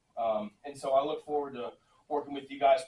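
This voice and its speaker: Very fast, somewhat breathy speech from a man, fairly high in pitch. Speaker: government software presenter. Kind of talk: presentation to county commission.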